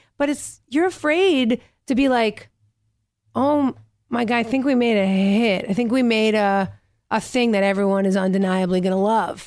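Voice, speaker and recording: Recorded very cleanly with a silent background, a woman with an unremarkable speaking voice talks at a fairly high pitch, with lively intonation and very even loudness. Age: 30s. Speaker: actor and stand-up comedian. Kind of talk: casual interview chat.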